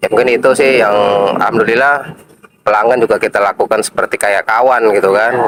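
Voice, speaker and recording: The speaker talks at a very fast pace with a Jakarta accent, very even loudness and fairly even intonation. The sound is dry and close with no echo, though noticeable background noise comes through. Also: man, medium pitch for a man. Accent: Jakarta Betawi-style. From Jakarta, Indonesia. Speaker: street food vendor. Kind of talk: interview.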